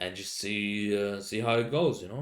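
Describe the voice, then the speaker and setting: In a Finnish accent, a man talks with a fairly low pitch. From Finland. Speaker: podcast host. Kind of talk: casual monologue. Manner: halting, many fillers.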